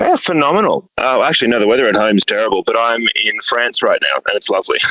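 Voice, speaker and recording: With an Australian accent, a man talks at a very fast pace and very even loudness amid noticeable background noise. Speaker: musician. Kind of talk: interview.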